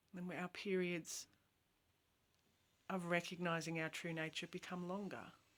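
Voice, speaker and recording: A woman with a fairly low pitch speaks in a flat monotone, stopping often for long pauses. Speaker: spiritual teacher. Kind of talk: spiritual talk. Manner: slow.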